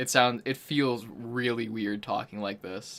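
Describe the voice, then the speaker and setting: A man in a resonant, put-on character voice, at medium pitch and a fairly slow pace, with fairly even intonation. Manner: unnatural, effortful.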